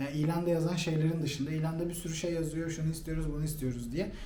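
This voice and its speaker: A man speaks at a fairly high pitch. Audible room echo surrounds his voice. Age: 30s. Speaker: guest on channel's interview show, former HR manager. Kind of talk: interview. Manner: halting, many fillers.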